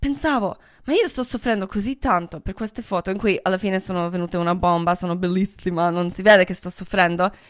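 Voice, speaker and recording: A woman with a non-native accent talks at a fairly quick pace and medium pitch, with ordinary pitch variation. The recording is very clean, with a silent background. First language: not Italian (speaking Italian). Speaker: podcast host. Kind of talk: casual monologue.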